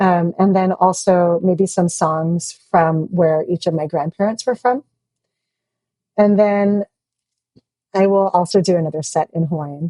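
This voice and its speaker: Her voice is fairly low with a dark, mellow tone, as this woman speaks at a fairly slow pace with fairly even intonation and long, frequent pauses. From Hawaii. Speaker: opera singer and university administrator. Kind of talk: interview.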